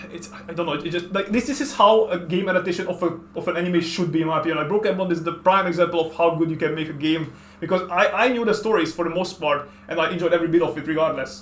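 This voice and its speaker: A man with a Hungarian accent talks very fast at a high pitch with ordinary pitch variation and hardly any pauses. Noticeable background noise and audible room echo are present. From Hungary. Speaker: artist and video game streamer. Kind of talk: casual chat. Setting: at home.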